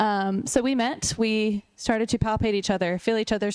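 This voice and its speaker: A woman speaks with an American accent at medium pitch. Hers is an ordinary speaking voice. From US South (Raleigh, North Carolina). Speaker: chiropractor. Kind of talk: talk at a luncheon.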